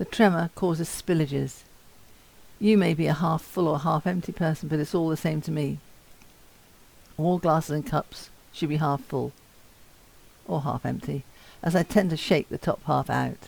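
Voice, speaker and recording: A woman with vocal fry and a very deep, low pitch speaks at a moderate pace, leaving long, frequent pauses. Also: ordinary pitch variation. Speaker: person with Parkinson's giving a talk. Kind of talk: talk to students. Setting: talk to university students. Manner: slurred at times.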